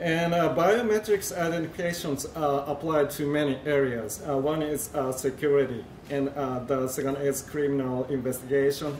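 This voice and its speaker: Against noticeable background noise and audible room echo, a man with a fairly high pitch talks with hardly any pauses. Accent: Japanese. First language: Japanese. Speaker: industry researcher presenting at a conference. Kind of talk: conference presentation. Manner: halting, many fillers.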